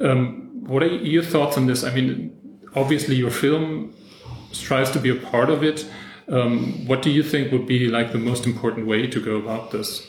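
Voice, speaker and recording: A man's medium-pitched voice at a moderate pace, with ordinary pitch variation, audible room echo and noticeable background noise. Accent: German. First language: German. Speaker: podcast host. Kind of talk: interview. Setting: in person. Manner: halting.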